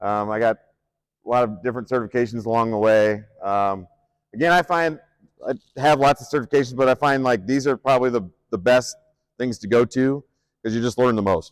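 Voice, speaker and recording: A man talks in a Midwestern US accent at a fairly quick pace. He leaves long, frequent pauses. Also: medium pitch for a man, ordinary pitch variation, dry, close sound with no echo. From Nebraska, Omaha. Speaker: strength coach and athletic director. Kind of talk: conference presentation. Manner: hesitant, many fillers; loud projecting coaching voice.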